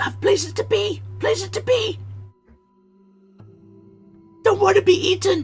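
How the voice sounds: A put-on character voice, shrill and at a moderate pace, breaks into long, frequent pauses over faint music in the background. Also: man.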